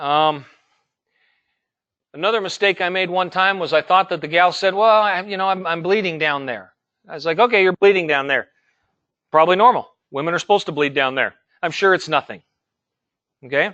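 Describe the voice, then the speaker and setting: High-pitched man with an American accent and a bright, sharp tone, fairly quick pace broken by long, frequent pauses, ordinary pitch variation, quiet background. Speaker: EMT instructor. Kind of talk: lecture. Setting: classroom, streamed online. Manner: fast.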